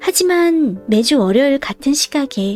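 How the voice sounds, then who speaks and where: A woman's calm voice at a very slow pace over music in the background. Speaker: audiobook reader. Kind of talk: audiobook reading, sleep-time listening. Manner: soft, calm, slow narration.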